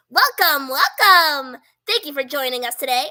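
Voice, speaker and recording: Someone puts on a high-pitched character voice and speaks at a moderate pace. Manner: cheerfully announcing, playful.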